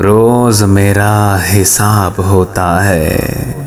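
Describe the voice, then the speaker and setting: Music plays in the background. A man speaks over it at a fairly low pitch. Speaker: radio jockey, voice-over artist. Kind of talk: poetry reading. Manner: emotional, sad.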